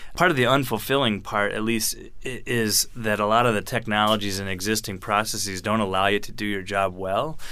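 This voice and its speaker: A man's fairly low voice, bright and sharp in tone, fairly quick, with ordinary pitch variation. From US military bases, moved often. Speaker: robotics company founder. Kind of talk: interview.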